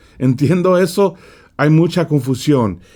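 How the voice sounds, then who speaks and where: A man speaks at a fairly slow pace. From California. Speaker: preacher. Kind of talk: sermon. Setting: studio.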